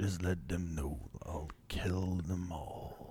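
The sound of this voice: A man's gravelly, put-on character voice, very deep and low in pitch, at a very slow pace over clear background noise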